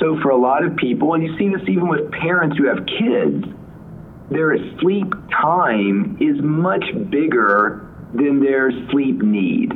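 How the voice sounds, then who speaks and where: Amid noticeable background noise and audible room echo, the voice moves at a very slow pace with very wide pitch swings and very even loudness. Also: man, fairly high pitch for a man. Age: 40s. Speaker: sleep doctor and neurologist. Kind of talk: interview.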